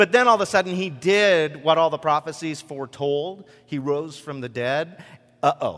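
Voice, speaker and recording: A man talks in an ordinary speaking voice at a fairly high pitch and moderate pace. His pitch variation is ordinary, while his loudness swings a lot. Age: 40s. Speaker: pastor. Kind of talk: sermon. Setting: church with congregation. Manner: casual, filler-heavy delivery.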